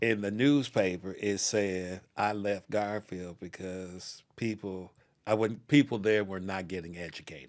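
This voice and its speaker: A man with a normal speaking voice and an American accent, fairly low in pitch with ordinary pitch variation and big swings in loudness, at a fairly slow pace in a very clean recording with a silent background. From Seattle, US Pacific Northwest. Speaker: education scholar. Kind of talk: oral history conversation.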